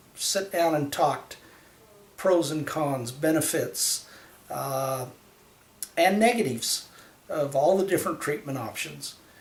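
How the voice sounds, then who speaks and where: A man with a fairly high pitch and ordinary pitch variation speaks at a fairly slow pace, leaving long, frequent pauses. Noticeable background noise runs behind him. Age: 60s. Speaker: patient. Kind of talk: testimony. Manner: halting.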